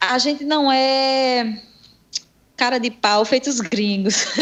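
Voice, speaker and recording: A woman speaks at a high pitch, with her voice varying in an ordinary way. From Brazil, Salvador, Bahia. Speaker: jiu-jitsu athlete. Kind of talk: casual interview.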